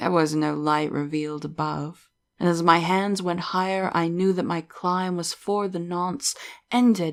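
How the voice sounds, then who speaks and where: A woman with an ordinary speaking voice and a medium pitch speaks at a fairly slow pace. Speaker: horror story narrator. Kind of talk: gothic horror story narration.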